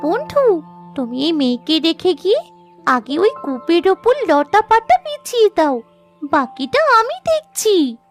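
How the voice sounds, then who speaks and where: An extremely high, cartoonish character voice speaks at a fairly slow pace. Faint music plays behind it. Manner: quick, persuasive.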